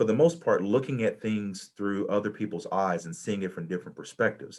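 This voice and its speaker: A man with a Southern US accent speaks at a fairly quick pace in a fairly low voice. His intonation is lively, and the recording is very clean with a silent background. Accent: Southern US, noticeable to a Midwest audience. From US South. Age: 40s. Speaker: college administrator and panelist. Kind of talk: panel talk sharing personal experience. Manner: halting, many fillers and repetitions.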